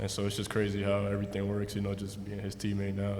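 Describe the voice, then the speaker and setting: The speech comes very fast with an American accent. Audible room echo and noticeable background noise fill the recording. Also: man. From US Northeast (New York/New Jersey area). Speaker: basketball rookie. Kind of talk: press conference.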